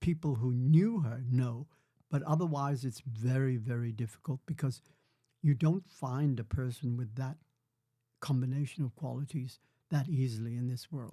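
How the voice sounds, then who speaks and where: With a dark, mellow tone, a man speaks at a medium pitch in a somewhat breathy voice. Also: ordinary pitch variation, moderate pace, very clean recording, silent background. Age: 80s+. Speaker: grandfather, former prisoner of war. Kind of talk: podcast interview answer.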